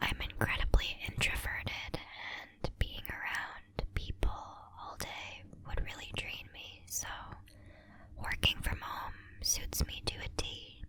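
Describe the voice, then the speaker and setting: A woman whispers at a very slow pace. Noticeable background noise runs underneath. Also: big swings in loudness. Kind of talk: ASMR crafting tutorial. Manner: whispered.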